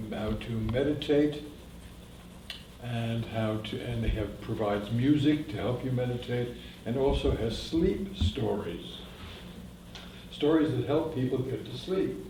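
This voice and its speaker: A man's medium-pitched voice at a fairly slow pace, with long, frequent pauses, noticeable background noise and audible room echo. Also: ordinary pitch variation. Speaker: professional narrator. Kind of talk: talk to a library audience. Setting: library room with live audience, no microphone. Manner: authoritative. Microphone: no microphone.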